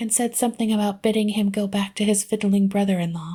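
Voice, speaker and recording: A soft-spoken woman's somewhat breathy voice, dark and mellow in tone, at a medium pitch, flat and monotone, at a fairly quick pace. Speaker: audiobook reader. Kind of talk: book reading.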